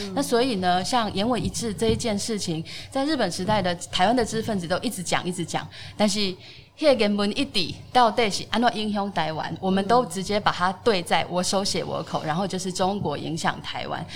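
Here the speech runs at a fairly quick pace with ordinary pitch variation. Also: woman, medium pitch for a woman. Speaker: literature professor and editor. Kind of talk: interview.

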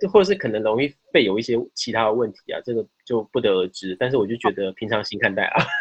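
A man at a medium pitch, very fast, with lively intonation and hardly any pauses. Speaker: podcast guest. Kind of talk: casual chat. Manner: halting, repeats words.

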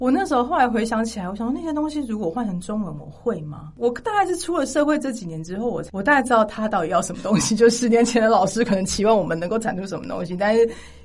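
A woman talks at a very fast pace with hardly any pauses, her fairly high voice making very wide pitch swings. Noticeable background noise runs underneath. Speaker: music graduate who studied in the UK. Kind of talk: casual chat.

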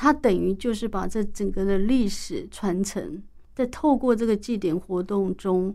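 In a Taiwanese accent, a woman speaks at a fairly slow pace and a medium pitch. Her tone is dark and mellow, and the recording is very clean with a silent background. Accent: Taiwanese Mandarin. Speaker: university professor and author. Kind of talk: interview. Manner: hesitant, many fillers.

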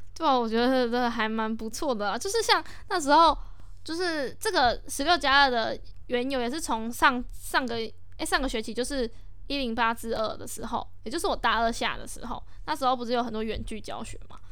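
In a room with audible echo, a woman with a high pitch and a bright, sharp tone talks at a fairly quick pace with ordinary pitch variation. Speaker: student podcast host. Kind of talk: casual chat.

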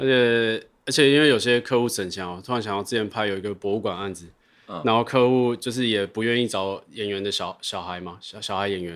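Recorded very cleanly against a silent background, a man with an unremarkable speaking voice talks at medium pitch and a fairly quick pace with ordinary pitch variation. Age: 30s. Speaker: video director and podcast host. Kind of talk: casual chat.

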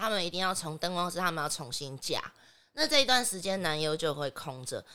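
In a very clean recording with a silent background, a woman speaks at a fairly quick pace in a bright, sharp tone with very wide pitch swings. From Taiwan. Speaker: adult film actress. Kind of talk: podcast interview.

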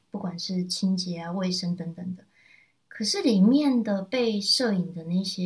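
A woman's somewhat breathy voice at medium pitch, with a Taiwanese accent and ordinary pitch variation. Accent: Taiwanese Mandarin. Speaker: podcast co-host presenting book picks. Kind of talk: casual chat.

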